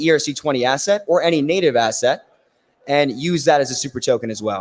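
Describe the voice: Raspy and at a fairly quick pace, a man speaks with ordinary pitch variation.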